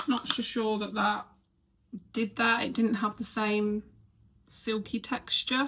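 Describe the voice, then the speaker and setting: The voice is soft-spoken and monotone, with flat intonation. It moves at a very slow pace with long, frequent pauses. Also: woman, fairly high pitch for a woman. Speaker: lifestyle vlogger. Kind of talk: casual vlog chat. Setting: bedroom at home. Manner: quiet, soft-spoken.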